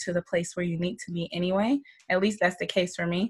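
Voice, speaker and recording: A somewhat breathy woman with an American accent, medium in pitch, at a fairly quick pace. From US South, Georgia. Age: 40s. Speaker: middle school teacher and life coach. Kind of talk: casual interview.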